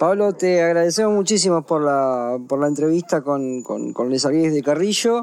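A man speaks at a fairly slow pace with hardly any pauses and very even loudness. His pitch is fairly high, and his intonation is lively. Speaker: radio host. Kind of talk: radio interview. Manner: halting, repeats words.

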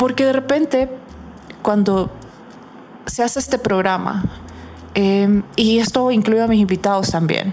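A woman's fairly high voice at a fairly slow pace, with long, frequent pauses, ordinary pitch variation, very even loudness and noticeable background noise. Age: 40s. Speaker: psychologist and radio host. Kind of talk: radio talk show monologue.

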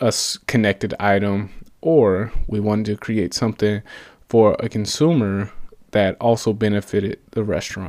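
A man with an American accent has a plain, everyday voice. He speaks at a fairly low pitch and a moderate pace. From US South (Atlanta, Georgia). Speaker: podcast host and startup co-founder. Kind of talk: solo business podcast monologue. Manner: casual, with frequent fillers and repetitions.

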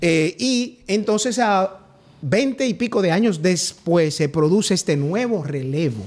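A man talks at a very slow pace in a high pitch. His loudness stays very even while his intonation is lively. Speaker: party legal secretary, politician. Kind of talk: political interview. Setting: studio.

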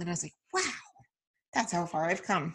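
A normal speaking voice from a woman with an American accent and ordinary pitch variation, on a very clean recording with a silent background. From Oregon. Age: 30s. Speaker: podcast host. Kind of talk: casual chat.

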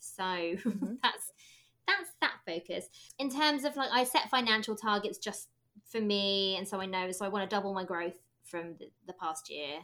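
A woman speaks in an ordinary speaking voice at medium pitch. Her intonation is lively. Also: moderate pace, very clean recording, silent background. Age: 30s. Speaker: stationery designer and small business mentor. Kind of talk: interview.

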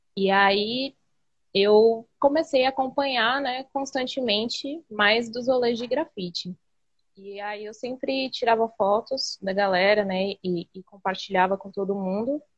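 Fairly slow delivery and ordinary pitch variation mark an ordinary speaking voice. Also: woman, fairly high pitch for a woman. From Embu das Artes, São Paulo state, Brazil. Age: 20s. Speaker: street artist. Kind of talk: interview. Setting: live video call.

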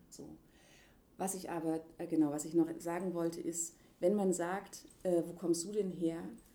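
This woman has a dark, mellow tone and a fairly low pitch. She talks at a moderate pace. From eastern Germany (Leipzig). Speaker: interviewee, contemporary witness. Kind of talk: casual conversation. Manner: halting, many fillers.

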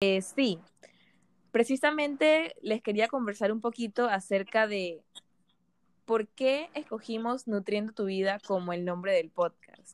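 A woman with a plain, everyday voice, fairly high and lively in intonation, at a fairly slow pace in a dry, close sound with no echo. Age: 20s. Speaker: podcast host, nutrition student. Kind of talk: casual podcast intro.

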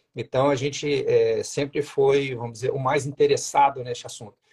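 A man's fairly high, somewhat breathy voice at a moderate pace, ordinary pitch variation, dry close sound with no echo. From Minas Gerais, Juiz de Fora. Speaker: endocrinologist. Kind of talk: casual interview. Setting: livestream. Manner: hesitant, with many fillers.

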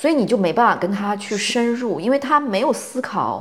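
The woman talks at a fairly quick pace, her pitch swinging very widely. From China. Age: 40s. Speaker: podcast host, content creator. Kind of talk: casual chat.

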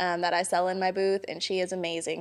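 A woman's fairly low voice, fairly quick and flat, in a monotone. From Hawaii. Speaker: small business owner, candle maker. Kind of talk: casual interview.

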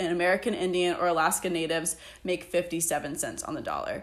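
Fairly low female pitch, a normal speaking voice, moderate pace, from a woman. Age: 20s. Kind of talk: casual chat.

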